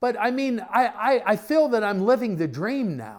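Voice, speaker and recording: The man's speech carries very wide pitch swings. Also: very clean recording, silent background. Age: 60s. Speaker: preacher and missionary. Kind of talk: podcast interview. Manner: animated.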